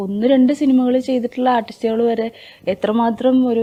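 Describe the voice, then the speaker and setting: A dark, mellow tone from a woman with a high pitch. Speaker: film actress. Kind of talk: interview.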